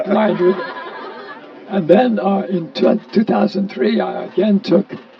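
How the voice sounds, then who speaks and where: High-pitched male speech against clearly audible background noise. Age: 80s+. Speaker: early member of a countercultural gathering. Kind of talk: storytelling.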